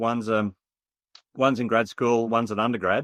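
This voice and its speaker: A man speaks in a bright, sharp tone. The sound is dry and close with no echo, over a quiet background. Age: 50s. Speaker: economist, expert witness. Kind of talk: interview. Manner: halting, many fillers and repetitions.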